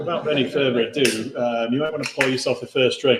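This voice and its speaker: Quiet and strained, a man talks at a moderate pace. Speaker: brewery host presenting beer tasting. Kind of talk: live beer tasting chat. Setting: pub room with live audience, livestreamed. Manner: restrained, quieter, pushing volume.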